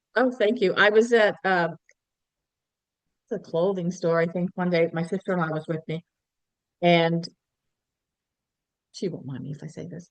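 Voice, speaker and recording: At a moderate pace, the speaker leaves long, frequent pauses, with big swings in loudness and ordinary pitch variation. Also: woman, fairly low pitch for a woman. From Cape Breton, Nova Scotia, Canada. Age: 60s. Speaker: skincare sales consultant. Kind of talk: casual interview chat. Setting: podcast.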